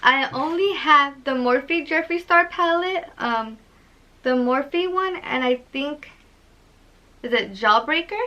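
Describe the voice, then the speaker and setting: A woman projects her high-pitched voice. Her intonation is lively. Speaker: beauty vlogger. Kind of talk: unboxing vlog. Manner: loud; animated.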